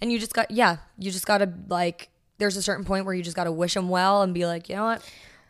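A woman at medium pitch, speaking very fast in a flat monotone, in a very clean recording with a silent background. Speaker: podcast host. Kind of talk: casual chat.

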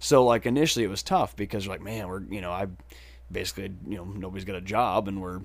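Speaking very fast with an American accent, a man uses a fairly low pitch with ordinary variation and some vocal fry. The recording is very clean, with a silent background. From southwestern Wisconsin. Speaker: musician. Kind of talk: casual chat.

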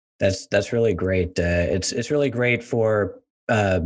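Ordinary pitch variation marks this man's speech at a moderate pace. His is a plain, everyday voice. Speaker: podcast host. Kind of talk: interview, conversational.

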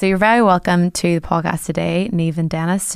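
With an ordinary speaking voice, a woman talks at a fairly quick pace, her pitch fairly low and her intonation fairly even. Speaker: podcast host. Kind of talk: interview podcast, host introducing and questioning.

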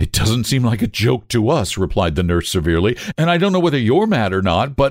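What you hear is an unforced reading voice.

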